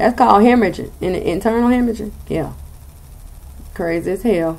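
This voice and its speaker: Animated in tone, the speaker talks at a fairly quick pace with a slight Southern US accent and ordinary pitch variation. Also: woman, medium pitch for a woman. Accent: slightly country Southern. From US South. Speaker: tarot reader. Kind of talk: tarot reading.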